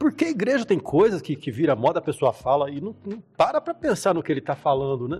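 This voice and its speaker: The man's pitch sits high. It swings very widely. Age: 60s. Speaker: pastor and church musician. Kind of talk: casual chat.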